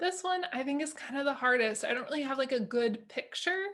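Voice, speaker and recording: Lively in intonation, a woman speaks at high pitch with a bright, sharp tone. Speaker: speech-language pathologist. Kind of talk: tutorial.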